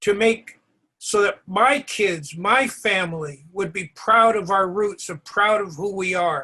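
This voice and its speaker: A man projects a raised voice at a high pitch, with a bright, sharp tone. He speaks at a fairly slow pace with ordinary pitch variation. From California, Mexican-American. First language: Spanish. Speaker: author and award presenter. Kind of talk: award ceremony speech.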